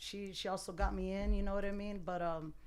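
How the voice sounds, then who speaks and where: Audible room echo surrounds a woman speaking with an American accent and ordinary pitch variation. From Tucson, Arizona. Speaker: barber and DJ. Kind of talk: casual chat.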